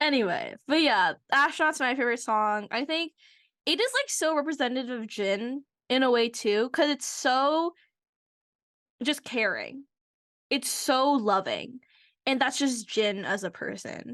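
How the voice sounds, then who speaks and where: An American-accented woman speaks at a fairly slow pace and a high pitch, with lively intonation, an animated tone, and long, frequent pauses over a quiet background. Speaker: podcast co-host, university researcher. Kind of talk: casual chat.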